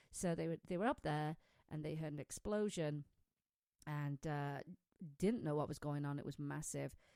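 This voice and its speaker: A woman speaks in a very deep, low pitch with a dark, mellow tone and ordinary pitch variation. Her pace is moderate, broken by long, frequent pauses. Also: dry, close sound with no echo. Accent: British. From Britain. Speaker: pet radio show host. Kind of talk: casual radio chat.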